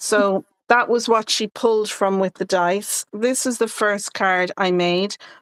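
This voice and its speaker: Delivered at a fairly slow pace, the voice has a dry, close sound with no echo. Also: woman, medium pitch for a woman. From Ireland. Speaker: card-making crafter. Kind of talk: casual live-stream chat. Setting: live stream.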